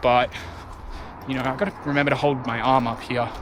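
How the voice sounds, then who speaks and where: Audible room echo and noticeable background noise surround a man with an Australian accent. His medium-pitched voice stays monotone and flat. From Western Australia. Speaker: travel vlogger. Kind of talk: vlog narration while hiking. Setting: outdoors on a forest trail. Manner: drawn-out, casual.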